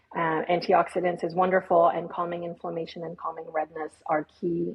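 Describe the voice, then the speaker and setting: With a French accent, a woman speaks at a moderate pace in a fairly low voice, with hardly any pauses. Her intonation is monotone and flat, and noticeable background noise runs underneath. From Switzerland, Geneva. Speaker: skincare company CEO. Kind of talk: interview.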